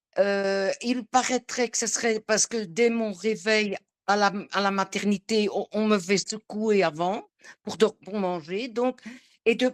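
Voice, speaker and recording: A woman, fairly high in pitch, very slow, with ordinary pitch variation and a dry, close sound with no echo. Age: 70s. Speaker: coaching client. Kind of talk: testimony. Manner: halting.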